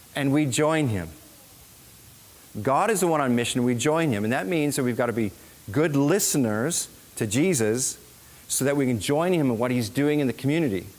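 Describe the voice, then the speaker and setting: Through audible room echo, a man with an American accent speaks at a moderate pace with lively intonation, very even loudness, and long, frequent pauses. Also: medium pitch for a man. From US Midwest, Minnesota. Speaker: missionary. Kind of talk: church presentation.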